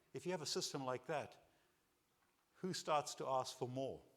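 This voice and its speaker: At a fairly slow pace, a man with a non-native accent speaks at medium pitch with lively intonation. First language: not English. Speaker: keynote speaker. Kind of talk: conference keynote.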